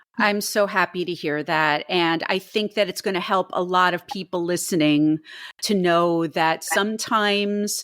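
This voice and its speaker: Featuring an unremarkable speaking voice, a woman talks at a medium pitch and fairly slow pace with fairly even intonation, recorded very cleanly against a silent background. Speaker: podcast host. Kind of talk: podcast interview questions.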